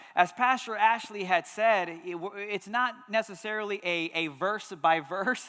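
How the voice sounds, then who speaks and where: A man speaks with a raised, projected voice and an animated tone at a fairly slow pace. His pitch is high and his tone bright and sharp. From Texas, Houston. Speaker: pastor. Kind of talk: sermon. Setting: church.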